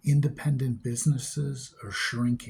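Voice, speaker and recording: This man's voice has a dark, mellow tone, is somewhat breathy, and keeps a fairly even intonation. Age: 60s. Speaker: vlogger with kidney failure. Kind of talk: rant.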